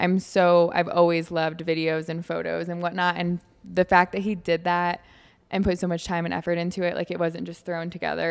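With music in the background, a woman speaks fairly quickly in an American accent at a fairly low pitch. Her intonation stays flat and monotone while her loudness swings widely. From Michigan. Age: 20s. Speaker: fitness coach and influencer. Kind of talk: casual chat. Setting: coffee shop.

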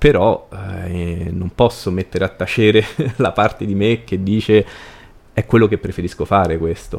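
At a moderate pace, a man talks with fairly even intonation and long, frequent pauses. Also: fairly low pitch for a man. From Rome, Italy. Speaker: cultural events organizer. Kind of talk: casual interview conversation.

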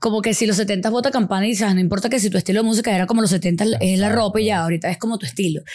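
At a very fast pace, a woman talks in an animated tone at medium pitch. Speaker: sex educator. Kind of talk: casual chat.

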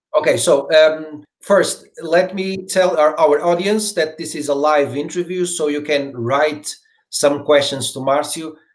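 The speaker has a Portuguese accent. The pace is fairly slow and the intonation fairly even. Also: man, fairly high pitch for a man. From Portugal. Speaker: podcast host. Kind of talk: interview. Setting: video call.

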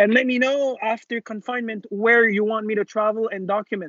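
A man speaks in a Quebec accent at a high pitch. His pace is fairly quick, with ordinary pitch variation. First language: French. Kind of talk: casual chat. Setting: video call.

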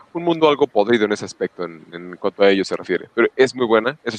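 A man at medium pitch with a Mexican accent, very fast pace and lively intonation, in a dry, close sound with no echo. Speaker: podcast co-host. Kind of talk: casual chat.

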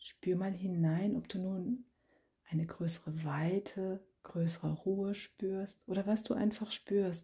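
A woman speaks at a very slow pace in a medium pitch with fairly even intonation. Her dark, mellow, somewhat breathy voice has a calm, gentle tone. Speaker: meditation guide and podcast host. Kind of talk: guided meditation. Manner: slow, calm, soft-spoken; gentle, long pauses between phrases.

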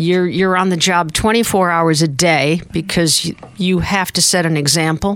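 A woman with an American accent and a fairly low pitch speaks at a moderate pace over noticeable background noise. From upstate New York. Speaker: retired UN peacekeeping staff member. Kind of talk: radio interview. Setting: studio.

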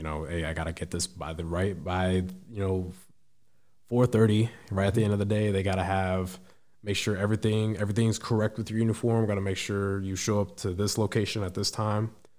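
At a fairly quick pace, a man talks in a fairly low pitch with fairly even intonation. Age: 20s. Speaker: military service member and public speaker. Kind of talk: casual interview.

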